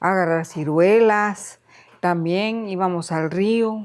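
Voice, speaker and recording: Fairly even intonation marks a woman's medium-pitched voice. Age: 70s. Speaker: elderly resident sharing life story. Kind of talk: interview, life story testimony. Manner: hesitant, with repetitions.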